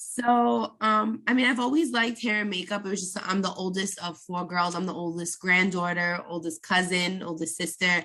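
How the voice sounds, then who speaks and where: A woman talks in an ordinary speaking voice with hardly any pauses. Her pitch is medium with ordinary variation. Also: moderate pace. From New York, Brooklyn. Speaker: makeup artist. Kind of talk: podcast interview.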